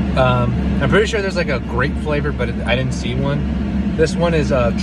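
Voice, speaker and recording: The recording is dry, with no echo. Loud background noise surrounds a man's voice. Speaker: vlogger. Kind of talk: casual vlog chat, taste review. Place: car. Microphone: phone near.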